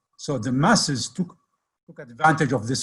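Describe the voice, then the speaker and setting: A somewhat breathy male voice at medium pitch, moderate in pace, with ordinary pitch variation. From Baghdad, Iraq. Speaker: editor and community leader. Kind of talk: history lecture on video call.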